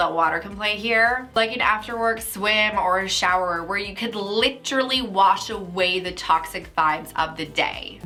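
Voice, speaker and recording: Music plays in the background as a woman speaks at a moderate pace. Her pitch is fairly high and her intonation lively. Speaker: career coach. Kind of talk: casual talk to camera.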